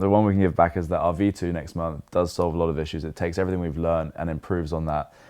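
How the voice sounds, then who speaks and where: A man speaks with a British accent at a very deep, low pitch. The background is quiet. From England. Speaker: crypto insurance company representative. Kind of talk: podcast interview. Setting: at a conference. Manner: laid back.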